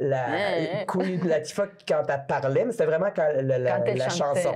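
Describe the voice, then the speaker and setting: Over noticeable background noise, a woman with a Quebec accent talks at a fairly slow pace in a very deep, low pitch, her intonation lively and her loudness very even. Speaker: singer-songwriter. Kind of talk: interview answer.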